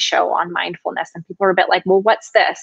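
With an American accent, a woman speaks against a quiet background in a dry sound with no echo. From California Central Coast, Paso Robles; California. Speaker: nutrition consultant; guest. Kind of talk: interview. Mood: warm, animated. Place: home room. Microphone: video call.

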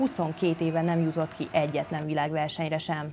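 A woman with an ordinary speaking voice at a moderate pace, over light background noise. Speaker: sports news presenter. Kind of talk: news reading.

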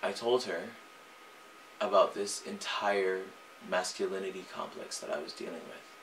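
A man at a moderate pace, with big swings in loudness and light background noise. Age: young. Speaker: singer. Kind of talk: personal confession to camera. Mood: earnest, reflective, emotional. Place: home room.

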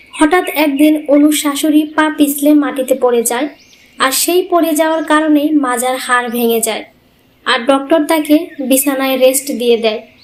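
This woman has a high-pitched voice, ordinary pitch variation and a moderate pace.

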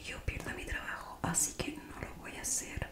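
A soft-spoken woman whispers at a fairly slow pace. Loud noise fills the background. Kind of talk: role-play ASMR. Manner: close, soft whisper into microphone.

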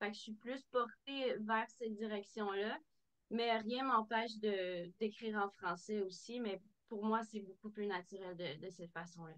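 Speaking at a fairly slow pace, a woman uses a fairly high pitch with ordinary variation. The background is quiet. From Quebec City region, Quebec; Quebec. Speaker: country singer; guest. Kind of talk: interview. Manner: halting. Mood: warm, animated. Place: home room. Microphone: video call.

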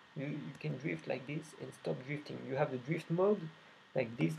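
Speaking with a French accent, a man of medium pitch has a dark, mellow tone and vocal fry. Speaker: indie game developer. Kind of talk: gameplay demo commentary. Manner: halting, many fillers and repetitions.

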